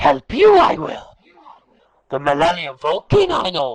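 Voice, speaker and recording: At a fairly slow pace, someone uses a put-on character voice pitched in the middle range. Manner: inverted, object-first phrasing.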